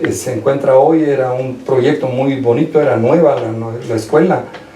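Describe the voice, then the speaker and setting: A man's voice comes with audible room echo amid noticeable background noise. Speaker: lawyer, old schoolmate. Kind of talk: radio interview.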